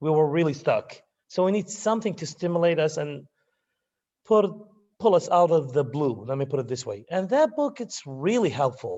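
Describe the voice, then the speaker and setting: A man with a non-native accent talks at a moderate pace, his pitch high for a man and his intonation lively. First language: not English. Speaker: university student. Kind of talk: class testimonial. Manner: halting.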